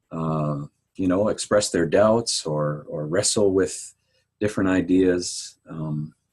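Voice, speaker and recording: Very slowly, a man speaks with a very deep, low pitch and ordinary pitch variation. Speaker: pastor. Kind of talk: interview conversation.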